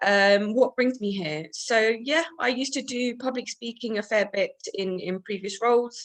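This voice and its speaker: A woman's normal speaking voice, fairly high in pitch, at a moderate pace with hardly any pauses and ordinary pitch variation. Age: 30s. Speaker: first-time club guest. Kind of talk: casual self-introduction.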